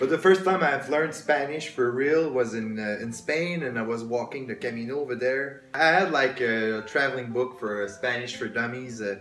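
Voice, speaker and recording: A man talks at a moderate pace with hardly any pauses, amid audible room echo and noticeable background noise. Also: medium pitch for a man, ordinary pitch variation. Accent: Quebec. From Quebec, Canada. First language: French. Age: 20s. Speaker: travel vlogger. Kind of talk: casual chat.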